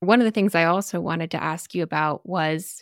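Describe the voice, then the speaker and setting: Here is an ordinary speaking voice from a woman with a fairly low pitch at a moderate pace. The sound is dry and close with no echo, on a very clean recording with a silent background. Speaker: podcast host. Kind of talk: casual interview chat.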